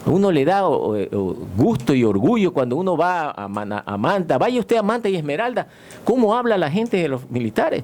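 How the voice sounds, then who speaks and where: A man's high-pitched voice with very wide swings in pitch, over noticeable background noise. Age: 60s. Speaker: retired navy admiral. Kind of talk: radio interview. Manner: halting.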